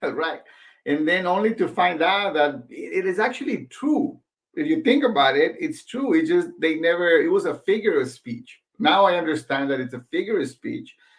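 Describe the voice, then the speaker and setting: Speaking at a moderate pace with a Spanish accent, a man uses a high pitch and very wide pitch swings. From Mexico (Michoacán, small town), moved to Los Angeles at 16. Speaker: franchise business owner. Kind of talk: interview.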